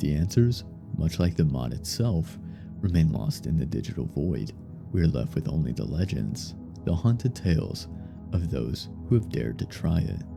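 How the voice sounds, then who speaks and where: Music plays in the background as a man talks. His voice is very deep and low, with very wide pitch swings. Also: moderate pace. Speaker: horror story narrator. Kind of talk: creepypasta horror narration.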